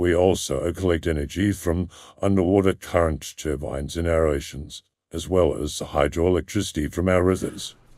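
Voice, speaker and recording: In a put-on character voice, a man speaks at a very deep, low pitch and a moderate pace, in a very clean recording with a silent background. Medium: audio drama. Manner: smooth, even-toned, polished.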